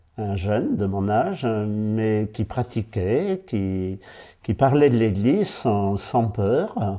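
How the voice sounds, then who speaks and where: A dark, mellow tone with ordinary pitch variation comes at a very slow pace on a very clean recording with a silent background. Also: man. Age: 70s. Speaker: parish priest. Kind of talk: interview. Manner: hesitant, with fillers and repeated words.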